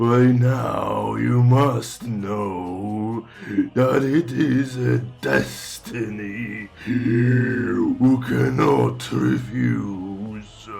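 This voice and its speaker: Over clear background noise, a man puts on a raspy character voice, fairly low in pitch and delivered at a very slow pace. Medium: audio drama. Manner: mocking, slow, tempting.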